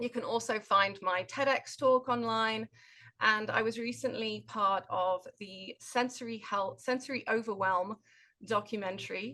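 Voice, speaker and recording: A bright, sharp tone with a British accent, fairly even intonation and a fairly slow pace against a quiet background. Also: woman, fairly high pitch for a woman. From Britain. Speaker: occupational therapist and nonprofit director. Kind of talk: webinar conversation.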